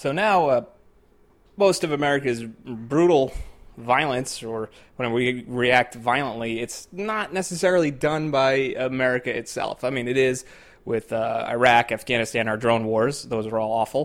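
A man speaks at medium pitch. His is an ordinary speaking voice. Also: ordinary pitch variation, moderate pace. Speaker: podcast host. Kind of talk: interview podcast, political commentary.

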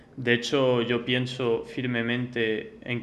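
Audible room echo surrounds a man whose medium-pitched voice is monotone and flat. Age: young. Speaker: startup co-founder. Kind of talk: interview. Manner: halting, many repeated words.

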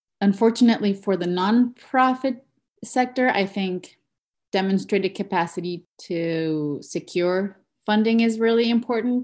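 A woman with a medium pitch and ordinary pitch variation is captured in a very clean recording against a silent background. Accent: Spanish. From Mexico. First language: Spanish. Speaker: education researcher. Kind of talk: interview.

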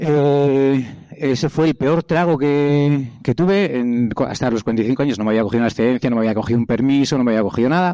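A man speaks fairly quickly at a medium pitch, with hardly any pauses and very even loudness. His tone is dark and mellow, with ordinary pitch variation. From Basque Country, Spain. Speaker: travel speaker, cyclist. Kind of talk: public talk. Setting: stage with audience. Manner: halting.

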